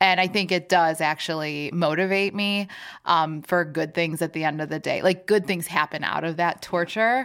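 An ordinary speaking voice comes through at a moderate pace with fairly even intonation in a very clean recording with a silent background. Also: woman, fairly low pitch for a woman. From former Soviet Union, raised in Chicago. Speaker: food company CEO.

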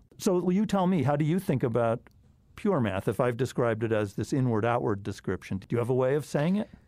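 Over a silent background in a very clean recording, a man talks very fast at a medium pitch, his dark, mellow tone swinging very widely in pitch. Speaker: podcast host, applied mathematician. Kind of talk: interview conversation. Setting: studio.

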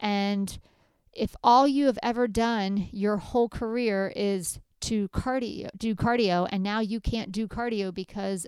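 In a very clean recording with a silent background, a woman uses an ordinary speaking voice at a medium pitch with ordinary pitch variation. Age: 40s. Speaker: dietitian podcast host. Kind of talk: casual solo monologue. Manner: conversational, frequent fillers.

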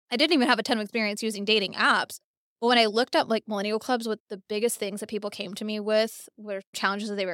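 On a very clean recording with a silent background and a dry, close sound with no echo, a woman talks at a very fast pace. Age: 30s. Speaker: tech entrepreneur and marketing executive. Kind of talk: casual interview.

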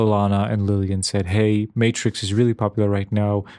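A man with a plain, everyday voice speaks fairly quickly at a fairly low pitch. The sound is dry and close with no echo, and the background is silent on a very clean recording. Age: 50s. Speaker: podcast co-host. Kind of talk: casual chat.

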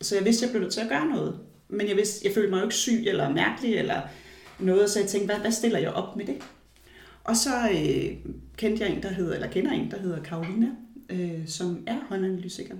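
At a fairly quick pace, a woman talks at a medium pitch with ordinary pitch variation, over noticeable background noise and audible room echo. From Denmark. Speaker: palm analyst. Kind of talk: interview. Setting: at guest's home.

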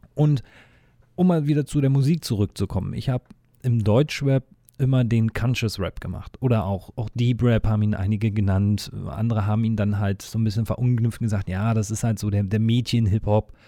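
Here a man talks at a fairly quick pace with ordinary pitch variation. The recording is dry and close, with no echo. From eastern Germany. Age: 30s. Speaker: podcast host, agency owner and former rapper. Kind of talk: solo podcast monologue. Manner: casual, with many fillers.

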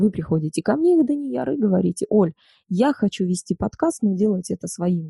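With a dark, mellow tone and a somewhat breathy medium-pitched voice, a woman speaks at a moderate pace with very wide pitch swings, in a dry, close sound with no echo. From northern Kazakhstan, small village. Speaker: voice and speech coach, former radio and TV host. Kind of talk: interview.

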